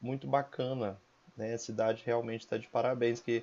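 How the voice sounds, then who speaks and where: Medium pitch marks this man's voice. The intonation is fairly even. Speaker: teacher hosting school podcast. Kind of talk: interview.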